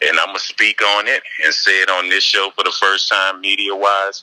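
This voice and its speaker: With a Southern accent, a man speaks at a moderate pace. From New Orleans, Louisiana. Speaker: rapper. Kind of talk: interview.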